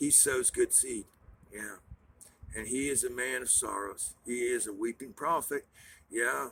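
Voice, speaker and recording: A man speaks at a fairly slow pace. He leaves long, frequent pauses. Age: 60s. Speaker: preacher. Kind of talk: sermon. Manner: rambling, halting.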